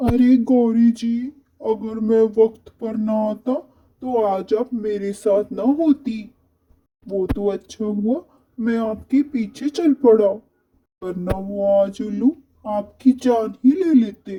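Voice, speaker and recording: A cartoonish, female-sounding character voice, fairly high in pitch, at a fairly slow pace. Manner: polite, mild.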